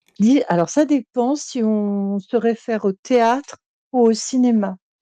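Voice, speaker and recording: Dry and close with no echo, a woman's voice moves at a very slow pace with ordinary pitch variation. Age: 70s. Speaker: retired actress and former teacher. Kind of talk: casual interview chat. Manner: hesitant, many fillers.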